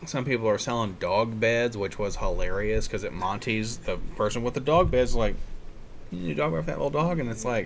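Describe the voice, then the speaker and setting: A man with an American accent and an unremarkable speaking voice, medium in pitch, with lively intonation at a fairly quick pace. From United States. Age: 30s. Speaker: podcast host. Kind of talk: casual chat. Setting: on location.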